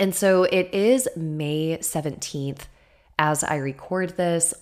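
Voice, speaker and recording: An enthusiastic tone comes through on a very clean recording with a silent background. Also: woman. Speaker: astrology podcast host. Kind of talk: solo podcast talk on astrology. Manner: enthusiastic, chatty.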